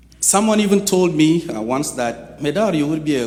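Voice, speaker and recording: Very wide pitch swings from a man at a moderate pace, with audible room echo. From Chad. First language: French. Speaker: nonprofit executive director, guest speaker. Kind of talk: sermon. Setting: church.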